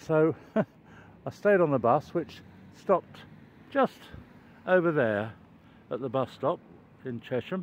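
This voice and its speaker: Over light background noise, the speaker talks at a fairly slow pace in a dry sound with no echo. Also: man. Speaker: walking vlogger. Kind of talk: casual vlog chat. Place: street. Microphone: phone near.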